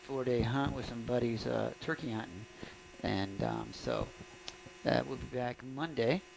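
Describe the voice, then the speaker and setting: A man talks at a moderate pace. Noticeable background noise runs beneath him. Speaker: high school baseball play-by-play announcer. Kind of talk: live sports commentary. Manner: casual, conversational.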